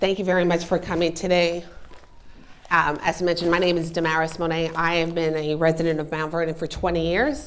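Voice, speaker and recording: A monotone, flat delivery in an American accent at a fairly quick pace, with noticeable background noise. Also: woman, fairly low pitch for a woman. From New York City, South Bronx. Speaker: community organizer. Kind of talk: public speech. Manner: hesitant.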